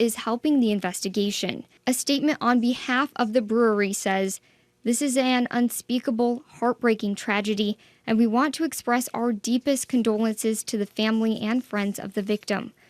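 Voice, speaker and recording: A woman with a plain, everyday voice and a fairly high pitch speaks at a moderate pace with fairly even intonation, the sound dry and close with no echo on a very clean recording with a silent background. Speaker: TV news anchor and reporter. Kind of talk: TV news report.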